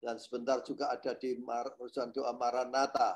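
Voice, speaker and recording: Over a fairly slow pace, a man does the talking. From East Java, Indonesia (Sidoarjo). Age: 70s. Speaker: publisher and minister. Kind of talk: testimony. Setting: video call.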